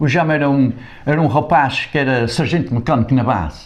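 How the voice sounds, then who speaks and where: Noticeable background noise behind fairly even intonation. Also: man. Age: 70s. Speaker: improvising folk singer. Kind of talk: casual interview storytelling.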